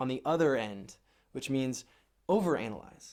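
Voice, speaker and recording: Here a man talks in an ordinary speaking voice, fairly high in pitch with ordinary variation. His pace is moderate, and the recording is very clean with a silent background. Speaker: dating coach. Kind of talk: advice monologue.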